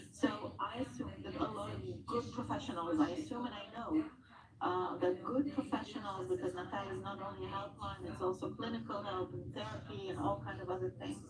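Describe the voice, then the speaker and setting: With noticeable background noise behind her, a woman keeps up a fairly quick pace. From Israel. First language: Hebrew. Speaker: trauma center representative. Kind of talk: TV news interview.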